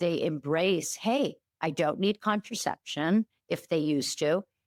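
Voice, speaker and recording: A woman's plain, everyday voice at a moderate pace, with lively intonation and a dry, close sound with no echo. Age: 60s. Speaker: OB-GYN and sex counselor, author. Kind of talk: casual chat. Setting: podcast interview.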